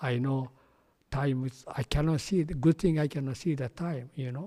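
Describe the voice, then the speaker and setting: A man with a Japanese accent speaks in a fairly high pitch, his dark, mellow tone somewhat breathy and his intonation fairly even. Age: 80s+. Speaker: Buddhist minister. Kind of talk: dharma talk. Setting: temple podium, in person. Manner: halting, repetitive.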